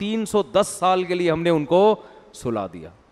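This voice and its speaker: The speaker is a man with a high pitch. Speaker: Islamic scholar giving a sermon. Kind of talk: religious sermon, storytelling lecture. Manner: conversational, explanatory.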